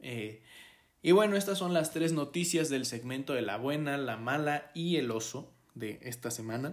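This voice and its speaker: With a Mexican accent, a man speaks at a fairly high pitch and a fairly slow pace. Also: lively intonation. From Mexico. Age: 20s. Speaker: podcast host. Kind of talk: solo podcast monologue. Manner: hesitant, many filler 'eh'.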